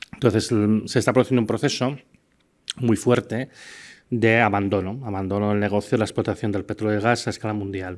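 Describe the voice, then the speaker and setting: On a very clean recording with a silent background, the voice moves at a fairly quick pace with fairly even intonation. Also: man, fairly low pitch for a man. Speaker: scientist giving a university lecture. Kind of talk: lecture. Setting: university lecture hall with audience. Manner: hesitant, many fillers.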